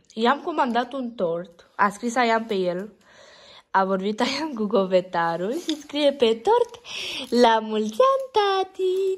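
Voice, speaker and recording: Speaking at a very slow pace, a woman uses a high voice with very wide pitch swings. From Romania, Strehaia (Oltenia); Romania. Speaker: family vlogger. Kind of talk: casual vlog. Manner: animated. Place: hall. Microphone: phone near.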